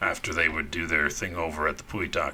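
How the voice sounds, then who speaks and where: A man uses a raspy, put-on character voice at a fairly quick pace. Clear background noise is heard behind him. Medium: actual play. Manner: blunt, wary.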